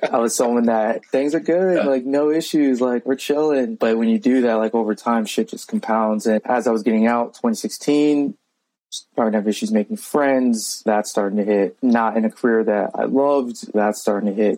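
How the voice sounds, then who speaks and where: Medium-pitched, dark, mellow male voice with an American accent, ordinary pitch variation and a moderate pace. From Virginia. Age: 30s. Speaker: army veteran. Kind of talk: casual chat.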